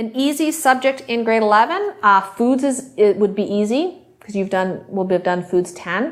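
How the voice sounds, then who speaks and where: Using lively intonation at a moderate pace, a woman with a fairly high pitch has an unremarkable speaking voice. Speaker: high school teacher. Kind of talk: classroom instruction.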